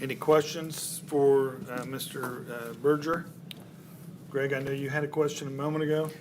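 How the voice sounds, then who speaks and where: Over noticeable background noise and audible room echo, a man with a fairly high pitch speaks at a moderate pace in monotone, flat intonation. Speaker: board chair. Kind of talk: public meeting chairing. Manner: loud.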